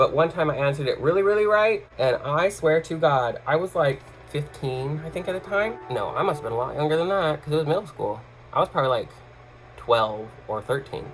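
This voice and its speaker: A man with an American accent, fairly high in pitch, with lively intonation and a fairly quick pace, over music in the background. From US Northwest, Washington state. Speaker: YouTuber and composer. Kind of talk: casual vlog monologue. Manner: casual, many fillers.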